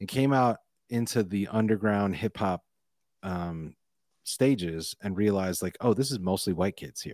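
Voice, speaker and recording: Fairly low male voice, a plain, everyday voice, with ordinary pitch variation and a fairly slow pace, very clean recording with a silent background, dry and close with no echo. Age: 40s. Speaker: rapper and spoken word artist. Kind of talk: casual interview chat.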